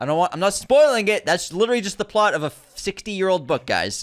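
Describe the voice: A man with an American accent, high pitch, big pitch swings and a fairly quick pace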